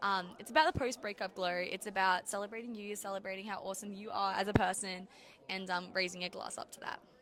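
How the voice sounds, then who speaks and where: Someone with an Australian accent speaks very fast, with big swings in loudness. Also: woman, medium pitch for a woman. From Australia, east coast beach town. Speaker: country singer. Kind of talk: casual interview. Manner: animated.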